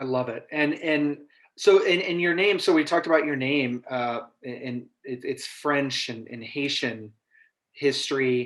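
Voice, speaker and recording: An American accent marks this man's speech, which is fairly high in pitch, fairly slow, and ordinary in pitch variation. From raised in US, Argentine father. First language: Spanish. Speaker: podcast co-host. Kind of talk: interview.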